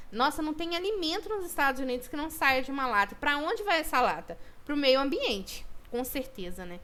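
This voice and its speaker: Her raised, projected voice sits high in pitch as the woman speaks fairly quickly with very wide pitch swings. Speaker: student teacher. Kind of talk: recorded online lesson. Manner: fast. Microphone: poor microphone.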